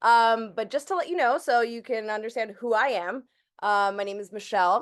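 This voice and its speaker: An ordinary speaking voice from a woman, fairly high in pitch, with ordinary pitch variation at a moderate pace. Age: 30s. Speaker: crypto trading educator. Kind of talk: online group call presentation. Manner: casual, filler-heavy.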